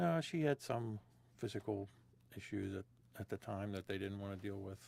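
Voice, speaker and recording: Speaking with an American accent, a man with a fairly low pitch leaves long, frequent pauses. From West Virginia, Wheeling (Ohio Valley). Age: 60s. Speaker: interviewee, father. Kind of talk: oral history interview. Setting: inside a small Airstream trailer.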